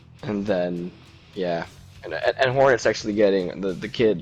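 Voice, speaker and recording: There is music in the background. Over it, a man speaks at a moderate pace. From Norway. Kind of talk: casual gaming chat. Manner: rambling, hesitant.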